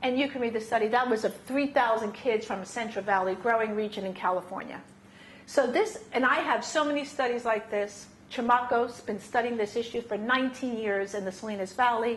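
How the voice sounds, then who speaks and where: This woman has a New York accent and a fairly high pitch. She talks at a fairly quick pace, and the room has an audible echo. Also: ordinary pitch variation. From New York City. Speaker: science advocacy presenter. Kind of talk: lecture. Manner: fast; animated.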